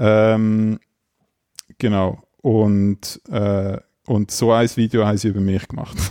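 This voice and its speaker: In a Swiss accent, a man with a fairly low pitch and a dark, mellow tone speaks very slowly in a flat monotone, pausing long and often. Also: dry, close sound with no echo. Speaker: podcast co-host. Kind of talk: casual chat.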